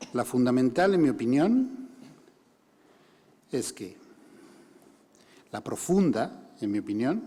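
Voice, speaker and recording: Very slowly and with long, frequent pauses, a man speaks in a dark, mellow tone at a fairly high pitch with very wide swings. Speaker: human rights organization director. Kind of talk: conference talk.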